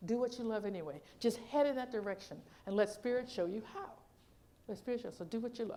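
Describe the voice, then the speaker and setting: With an animated tone and a very fast pace, a woman speaks at a fairly high pitch with ordinary pitch variation, and audible room echo surrounds her. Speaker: minister. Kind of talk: sermon.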